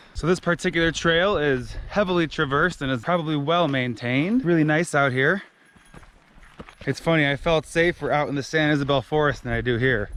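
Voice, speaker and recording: A man talks at a fairly quick pace in a fairly high pitch. There is noticeable background noise. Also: ordinary pitch variation. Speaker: travel vlogger. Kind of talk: casual vlog narration. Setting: outdoors on hiking trail. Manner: loud.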